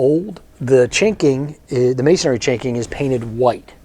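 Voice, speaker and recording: In an American accent, a man speaks at medium pitch. His pace is fairly slow, with noticeable background noise. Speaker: wood restoration contractor. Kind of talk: casual storytelling to camera. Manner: conversational, hesitant with fillers.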